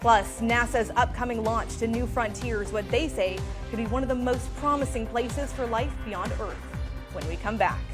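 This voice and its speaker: Music can be heard behind the speaker. She is a woman talking at a moderate pace. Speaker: TV news reporter and anchor. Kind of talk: TV news reporting and anchoring.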